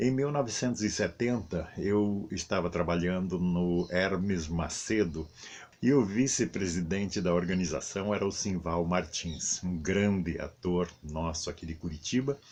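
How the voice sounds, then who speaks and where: Very deep and low, a man's voice moves at a fairly slow pace. His pitch varies in an ordinary way. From southern Brazil, Paraná interior (Lapa). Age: 70s. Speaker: stage actor. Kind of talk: testimony.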